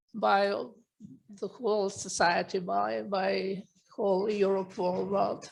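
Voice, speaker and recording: A woman talks at a very slow pace with fairly even intonation. She leaves long, frequent pauses. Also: medium pitch for a woman. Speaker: museum professional. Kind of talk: panel discussion. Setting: conference event. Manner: halting.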